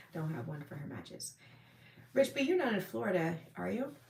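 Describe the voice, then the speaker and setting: Somewhat breathy, a woman speaks at a moderate pace in a fairly low pitch. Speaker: firearms and self-defense livestreamer. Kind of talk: live stream chat reading viewer comments. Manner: casual with many fillers.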